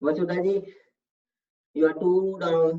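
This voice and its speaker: Speaking with an Indian accent, the voice moves at a fairly slow pace. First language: Hindi. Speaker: yoga instructor. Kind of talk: online fitness class instruction.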